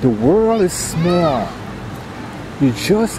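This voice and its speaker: A man with an American accent speaks at a fairly high pitch and a very slow pace. His pitch swings very widely over noticeable background noise. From US Virgin Islands. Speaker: traveling vlogger. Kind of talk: casual chat.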